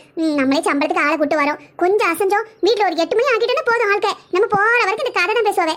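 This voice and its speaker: A woman puts on a cartoonish character voice, extremely high in pitch, racing at a very fast pace with lively intonation and very even loudness. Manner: chatty, practical, rural colloquial.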